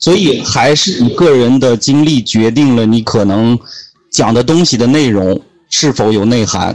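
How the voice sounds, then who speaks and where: A man's medium-pitched, very evenly loud delivery at a fairly slow pace, with ordinary pitch variation, in a normal speaking voice. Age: 20s. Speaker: podcaster and guest mentor. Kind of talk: casual interview. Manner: explanatory, lecturing.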